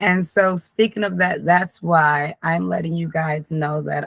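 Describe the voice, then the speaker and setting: The voice is somewhat breathy, with ordinary pitch variation and a fairly slow pace. The sound is dry and close, with no echo. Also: woman. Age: 30s. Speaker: life coach. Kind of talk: casual monologue to camera. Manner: stumbling over words.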